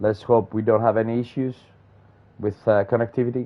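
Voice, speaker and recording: A man with a non-native accent speaks at a fairly quick pace. His pitch is medium. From Greece. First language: Greek. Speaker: sim racing commentator. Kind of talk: live commentary. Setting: live stream broadcast. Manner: hesitant, many fillers.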